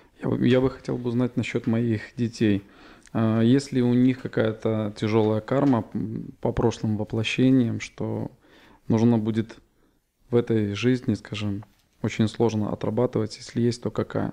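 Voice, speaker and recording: Speaking in a flat monotone at a fairly slow pace, a man uses a dark, mellow tone and leaves long, frequent pauses. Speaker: seminar participant asking questions. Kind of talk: question from audience. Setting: seminar hall with live audience. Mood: hesitant, earnest asking. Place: home room.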